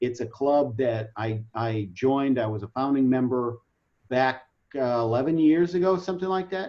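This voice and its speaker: Lively in intonation, a man talks at a moderate pace and medium pitch in an ordinary speaking voice. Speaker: webinar presenter. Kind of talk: online training presentation. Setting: video call.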